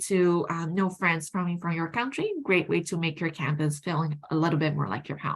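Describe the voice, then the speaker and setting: This woman talks at a moderate pace in a fairly low pitch, with ordinary pitch variation. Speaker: university recruitment officer. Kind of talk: presentation. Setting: virtual university fair.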